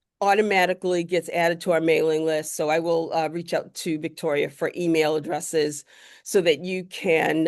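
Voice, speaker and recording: This woman has a normal speaking voice pitched at a medium level. She talks at a moderate pace against a quiet background. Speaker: career workshop presenter. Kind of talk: workshop presentation.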